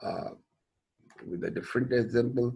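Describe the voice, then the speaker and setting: Against a quiet background, a man talks at a fairly quick pace and a medium pitch. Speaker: engineering professor. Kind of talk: lecture.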